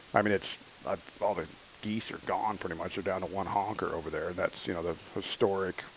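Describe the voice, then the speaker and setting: Speaking with an American accent, a man talks fairly quickly in a fairly low pitch. His intonation is monotone and flat, and there is noticeable background noise. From Northern California. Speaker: hunting podcast co-host. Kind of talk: casual chat.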